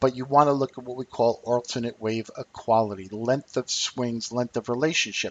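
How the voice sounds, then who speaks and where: At a moderate pace and medium pitch, a man speaks with ordinary pitch variation in an ordinary speaking voice. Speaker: trading educator, company CEO. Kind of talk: webinar lecture.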